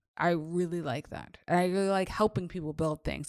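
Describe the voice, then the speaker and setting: A woman's animated, fairly quick delivery on a very clean recording with a silent background. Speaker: faith and business coach. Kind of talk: podcast monologue. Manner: fast.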